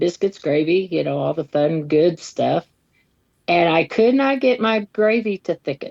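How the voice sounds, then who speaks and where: A woman speaks in a plain, everyday voice at a fairly slow pace. Her pitch is fairly low, and her intonation is lively. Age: 60s. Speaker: pastor's wife. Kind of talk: podcast interview. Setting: video call. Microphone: poor connection.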